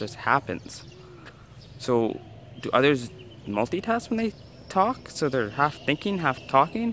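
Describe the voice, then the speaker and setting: Speaking with a Canadian accent, the voice makes very wide pitch swings and big swings in loudness, with long, frequent pauses, a dry sound with no echo and light background noise. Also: man. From Canada. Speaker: travel vlogger. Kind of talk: travel vlog talk to camera. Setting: outdoors. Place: street. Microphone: phone near.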